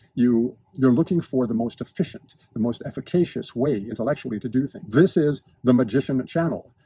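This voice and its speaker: With a dark, mellow tone that is somewhat breathy, a man talks at a fairly quick pace and uses ordinary pitch variation. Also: medium pitch for a man. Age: 60s. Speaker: lifestyle and fitness video host. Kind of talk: monologue to camera. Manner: precise, articulate diction; halting with repetitions.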